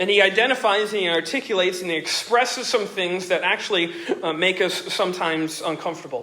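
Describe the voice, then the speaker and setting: A man speaks at a very fast pace in a raised, projected voice, his pitch high for a man with ordinary variation. Noticeable background noise runs underneath. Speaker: pastor. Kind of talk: sermon.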